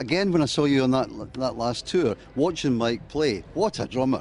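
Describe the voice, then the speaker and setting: A man with a Glasgow accent, fairly high pitch, lively intonation and a moderate pace. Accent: Scottish, Glasgow. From Scotland (Glasgow). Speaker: radio interviewer. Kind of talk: interview. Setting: music festival. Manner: halting, repeats words.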